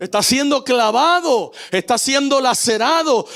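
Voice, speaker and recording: The speaker has a Puerto Rican accent and a fairly slow pace. The intonation is lively. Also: man. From Puerto Rico. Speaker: pastor. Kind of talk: sermon.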